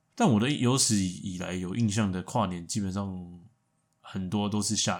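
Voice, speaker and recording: An unremarkable speaking voice from a man, at a moderate pace with ordinary pitch variation. The recording is very clean, with a silent background. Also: fairly low pitch for a man. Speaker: podcast co-host. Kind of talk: casual chat.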